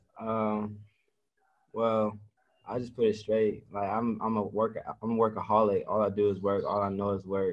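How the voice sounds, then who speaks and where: With long, frequent pauses, a man speaks at a moderate pace in a fairly low pitch with monotone, flat intonation. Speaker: college football player. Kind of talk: interview. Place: meeting room. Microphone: video call.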